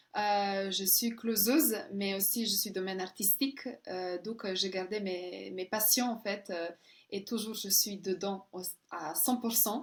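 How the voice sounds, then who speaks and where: Her voice sits at a medium pitch with fairly even intonation. The woman speaks at a very slow pace. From Serbia. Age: 30s. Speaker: closer, model, actress and coach. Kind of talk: interview. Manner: halting.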